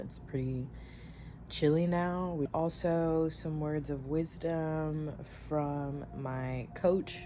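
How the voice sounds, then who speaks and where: Audible room echo surrounds a woman with a very deep, low pitch. Her tone is dark and mellow and her intonation fairly even. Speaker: vlogger. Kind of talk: casual vlog.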